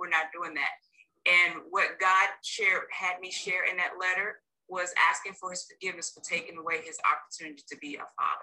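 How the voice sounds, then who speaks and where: A woman with an American accent talks in a plain, everyday voice at a medium pitch. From North Carolina. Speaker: marriage coach. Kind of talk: interview.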